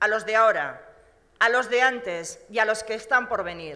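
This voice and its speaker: A woman's bright, sharp voice at a fairly slow pace, quiet background. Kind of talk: political speech. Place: hall. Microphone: podium.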